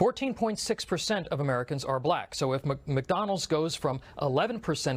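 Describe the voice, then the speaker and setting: On a very clean recording with a silent background, a man talks at a fairly quick pace in a somewhat breathy, fairly high voice with lively intonation. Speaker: political commentator. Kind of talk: opinion commentary to camera.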